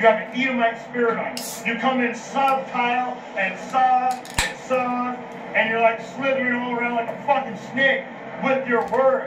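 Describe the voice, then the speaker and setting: A man with an American accent shouts loudly at a moderate pace in an extremely high, monotone, flat voice. Noticeable background noise and audible room echo are present. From Los Angeles, US. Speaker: street preacher. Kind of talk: heated street argument. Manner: yelling.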